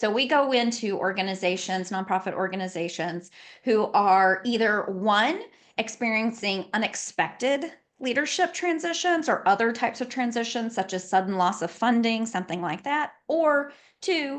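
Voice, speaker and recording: Against a quiet background, a woman talks at a moderate pace with a fairly high pitch and lively intonation. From Louisiana, later South Carolina. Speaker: nonprofit consultant and lawyer. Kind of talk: podcast interview.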